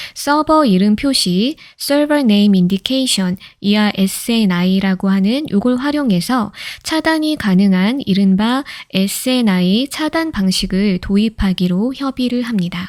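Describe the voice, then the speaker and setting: A woman speaks quietly at a fairly slow pace and medium pitch, with very even loudness. Her tone is calm and her intonation lively. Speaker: lawyer. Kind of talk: sleep-aid legal case reading. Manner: calm, quiet.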